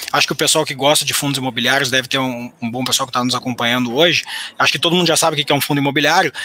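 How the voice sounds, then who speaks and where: A man talks with fairly level intonation and a fairly high pitch while noticeable noise fills the background. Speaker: economist and educator. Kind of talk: finance webinar. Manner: halting, frequent repetitions.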